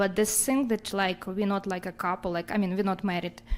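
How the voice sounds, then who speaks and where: This woman has a non-native accent. She keeps her intonation flat and monotone. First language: not English. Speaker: audience member. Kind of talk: question from audience. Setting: class with audience. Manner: halting.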